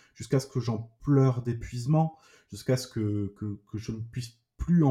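A man speaks at a fairly slow pace in a medium pitch, with ordinary pitch variation. His tone is dark and mellow, and somewhat breathy. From southern France, Toulouse. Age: 30s. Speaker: trauma survivor giving testimony. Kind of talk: personal testimony. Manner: halting, repetitive.

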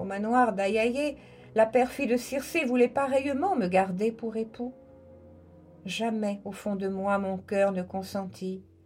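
Over music in the background, a woman speaks very slowly in a solemn, theatrical tone at a fairly high pitch. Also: ordinary pitch variation. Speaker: radio host reading poetry. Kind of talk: dramatic narration of epic poetry, reading aloud. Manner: solemn, expressive, theatrical delivery.

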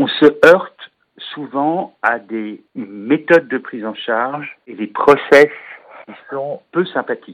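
At a very slow pace, a man speaks with lively intonation and a fairly high pitch. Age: 50s. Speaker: patient advocate and trainer. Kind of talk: interview.

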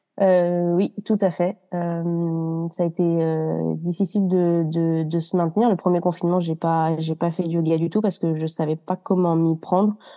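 The intonation is monotone and flat, with very even loudness. The background is quiet. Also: woman, fairly low pitch for a woman. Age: 20s. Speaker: yoga retreat participant. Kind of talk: casual interview chat. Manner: hesitant, many fillers.

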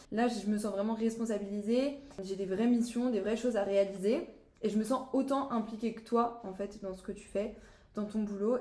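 Her fairly high pitch carries a dark, mellow tone and fairly even intonation, with audible room echo around the woman's voice. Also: moderate pace. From France, Brittany (Saint-Malo). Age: young. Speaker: student apprentice. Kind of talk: casual chat.

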